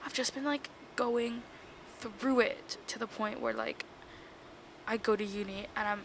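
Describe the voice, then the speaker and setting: A woman speaks quietly at a moderate pace, her pitch fairly high and her intonation fairly even. Noticeable background noise can be heard. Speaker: podcast host. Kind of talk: casual chat. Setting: shared room with others present. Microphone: mic without cover, audio may be bad.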